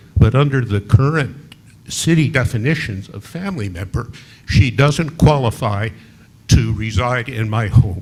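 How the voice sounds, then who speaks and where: A somewhat breathy man talks at a fairly slow pace and medium pitch with lively intonation. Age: 80s+. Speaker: local resident. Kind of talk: public comment at city meeting. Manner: halting.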